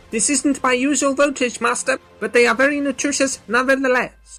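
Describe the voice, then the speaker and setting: Someone uses a put-on, high-pitched character voice. Faint music plays in the background. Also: moderate pace. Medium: audio drama. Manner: formal, precise.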